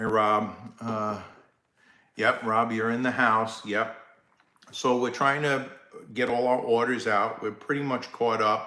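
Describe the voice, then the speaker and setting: Long, frequent pauses mark this man's fairly slow, monotone, flat delivery at a medium pitch, with audible room echo around him. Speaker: live stream host, less-lethal gear seller. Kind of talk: casual live-stream chat. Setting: live stream. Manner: casual, halting with fillers.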